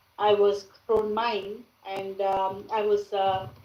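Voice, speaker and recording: Medium pitch and a dark, mellow tone in a woman's voice. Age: 60s. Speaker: business owner sharing experience. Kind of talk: testimony. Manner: halting, many fillers.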